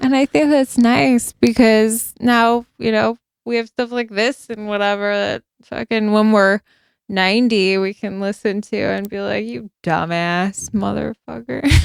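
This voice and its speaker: Dry and close with no echo, a woman's medium-pitched voice carries a strong Chicago accent at a fairly slow pace with ordinary pitch variation. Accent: thick Chicago. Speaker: podcast co-host. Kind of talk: casual chat. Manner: loud.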